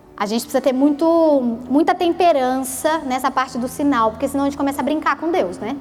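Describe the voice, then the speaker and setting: A woman's high voice over music in the background. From Brazil, Rio de Janeiro state (Petrópolis). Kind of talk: sermon. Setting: church prayer group with audience. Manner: animated, conversational.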